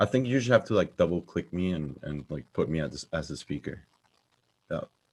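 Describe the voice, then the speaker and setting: Speaking at a fairly quick pace, a man with a very deep, low pitch shows very wide pitch swings and vocal fry. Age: 20s. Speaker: software engineer. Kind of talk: conference talk.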